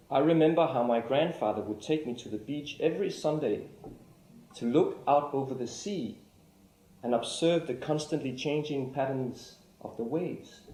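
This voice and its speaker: A man with a Danish accent speaks at a moderate pace in a fairly high pitch with ordinary pitch variation and a dark, mellow tone, with audible room echo around him. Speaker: artist-lecturer. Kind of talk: lecture. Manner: formal.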